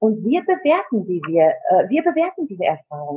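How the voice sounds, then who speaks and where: This woman has a fairly high pitch and keeps a moderate pace. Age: 40s. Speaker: coach and network marketing partner. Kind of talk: interview, personal life story. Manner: hesitant with many fillers.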